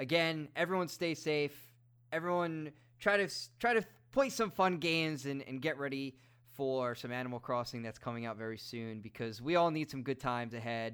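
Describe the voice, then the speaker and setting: On a very clean recording with a silent background, a man with a New York accent talks at a moderate pace, his fairly high pitch carrying lively intonation. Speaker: podcast host. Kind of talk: casual chat.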